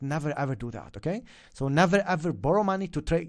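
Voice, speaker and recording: Fairly quick speech with an Arabic accent over a quiet background. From Lebanon. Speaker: forex trading educator. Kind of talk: live stream chat. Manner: animated.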